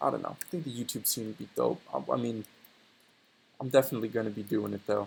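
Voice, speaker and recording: With music in the background, a man talks at a medium pitch. His pace is moderate, and his pitch varies in an ordinary way. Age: 20s. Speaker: aspiring 3D modeler vlogger. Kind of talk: casual monologue while working. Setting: home recording while working on 3D model. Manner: rambling, filler-heavy casual speech.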